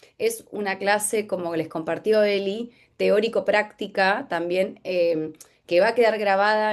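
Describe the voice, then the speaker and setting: In a quiet setting, a woman's voice sits at a medium pitch. Her intonation is fairly even. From Buenos Aires province, Argentina. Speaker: workshop instructor. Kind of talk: lecture. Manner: halting.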